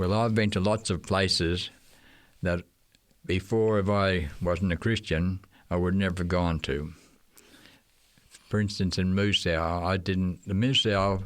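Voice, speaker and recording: A man with an Australian accent speaks at a fairly slow pace in a very deep, low voice, leaving long, frequent pauses. His intonation stays fairly even and his loudness very even. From Australia, Queensland. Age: 80s+. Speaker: retired missionary teacher. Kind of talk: interview.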